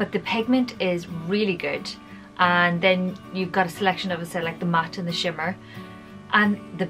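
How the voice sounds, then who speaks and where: A woman talks at a moderate rate, with clear music playing behind her. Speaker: beauty vlogger. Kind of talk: casual vlog chat. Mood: cheerful, chatty. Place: home room.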